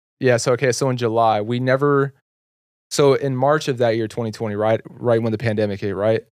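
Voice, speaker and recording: Here a man with an American accent speaks at a moderate pace in a medium pitch. His is an ordinary speaking voice with fairly even intonation. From Texas, Carrollton. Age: 20s. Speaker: clothing entrepreneur and YouTuber. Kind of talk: casual chat. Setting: studio.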